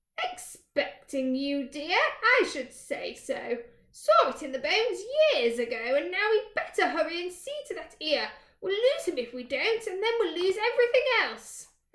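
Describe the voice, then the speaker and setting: This put-on character voice moves through very wide pitch swings. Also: woman, extremely high pitch for a woman, moderate pace. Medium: read story. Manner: brisk, homely, calls others dear.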